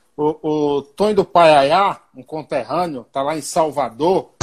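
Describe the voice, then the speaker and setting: This man has a normal speaking voice with a fairly high pitch, talking at a fairly slow pace with ordinary pitch variation. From Bahia, Brazil. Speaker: radio host. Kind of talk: interview.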